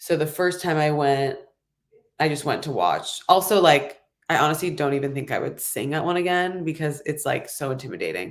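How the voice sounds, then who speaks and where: At a moderate pace, a woman with a very deep, low pitch speaks in an American accent. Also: ordinary pitch variation. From Los Angeles. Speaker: singer-songwriter. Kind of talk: interview answer. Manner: casual, chatty.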